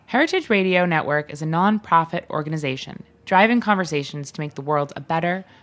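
At a fairly quick pace, a woman with a fairly low pitch and ordinary pitch variation talks in a plain, everyday voice. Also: big swings in loudness. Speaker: podcast host. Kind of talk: interview. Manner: giggly, casual.

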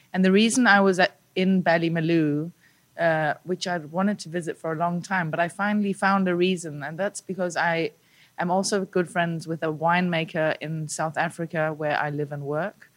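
Recorded very cleanly against a silent background, a woman with a fairly low pitch and an ordinary speaking voice talks at a moderate pace with fairly even intonation. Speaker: journal editor. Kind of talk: roundtable discussion.

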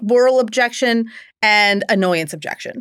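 A very clean recording of a woman with an American accent against a silent background. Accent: mild Philadelphia accent, mostly trained out. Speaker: litigant, daughter in family dispute. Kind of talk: casual chat. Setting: recording studio.

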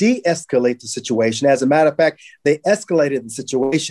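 With an American accent, a man speaks in a normal speaking voice at a fairly high pitch with ordinary pitch variation, the sound dry and close with no echo on a very clean recording with a silent background. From Los Angeles, California (Watts). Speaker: state legislator. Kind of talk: interview.

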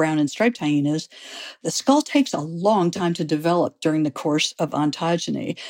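A woman with a Midwestern American accent, fairly low in pitch, with ordinary pitch variation at a moderate pace, in dry, close sound with no echo. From US Midwest, St. Louis, Missouri. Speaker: biology professor. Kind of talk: interview.

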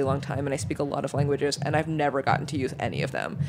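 Over noticeable background noise, a woman with a very deep, low pitch talks at a very fast pace. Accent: American. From New York. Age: 30s. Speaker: food media editor. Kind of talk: casual interview.

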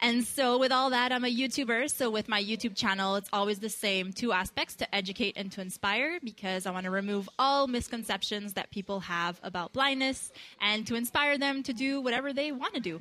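A woman with a normal speaking voice and fairly high pitch talks at a fairly quick pace with hardly any pauses and ordinary pitch variation, on a very clean recording with a silent background. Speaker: motivational speaker. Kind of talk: live radio interview.

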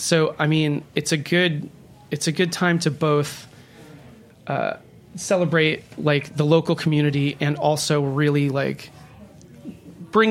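The delivery is fairly slow and fairly even in intonation, with long, frequent pauses. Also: man. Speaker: music festival organizer. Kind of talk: casual chat.

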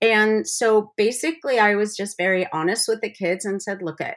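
There is a woman with an unremarkable speaking voice at a medium pitch. She speaks at a moderate pace on a very clean recording with a silent background. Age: 60s. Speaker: cookbook author and former special ed teacher. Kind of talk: casual interview.

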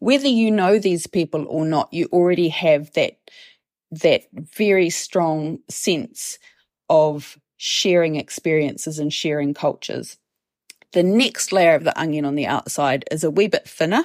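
Speaking fairly slowly with a New Zealand accent and ordinary pitch variation, the voice comes through a very clean recording with a silent background and a dry, close sound free of echo. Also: woman, fairly low pitch for a woman. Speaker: professor and events researcher. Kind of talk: interview.

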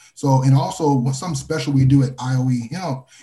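Music in the background behind a man speaking in an American accent. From Texas. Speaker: hemp transport company co-founder. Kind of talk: interview.

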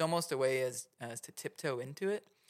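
A man with an American accent and vocal fry. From Oklahoma City. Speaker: mushroom grow supplier and educator. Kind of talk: casual interview chat.

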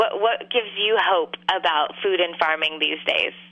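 Over noticeable background noise, a woman with an American accent talks at a moderate pace. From California Central Valley. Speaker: organic peach farmer. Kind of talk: casual interview. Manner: hesitant, many fillers.

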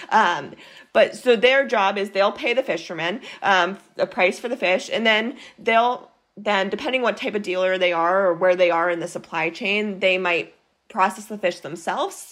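In a plain, everyday voice, a woman with an American accent speaks at medium pitch and a moderate pace with ordinary pitch variation. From Maine, US. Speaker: nonprofit program director, marine scientist. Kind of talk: interview.

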